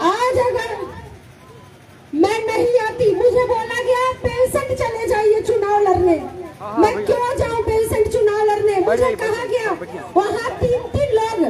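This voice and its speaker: A woman's extremely high-pitched voice with fairly even intonation, crowd noise behind her. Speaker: politician. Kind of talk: political rally speech.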